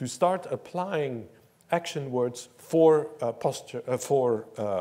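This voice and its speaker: Speaking with a Dutch accent, a man uses lively intonation in a fairly high voice. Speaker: professor. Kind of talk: lecture. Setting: stage with audience.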